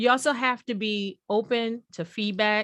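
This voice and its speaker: A woman speaks at a fairly high pitch with ordinary pitch variation. The background is quiet. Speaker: motivational speaker. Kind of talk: motivational talk. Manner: halting.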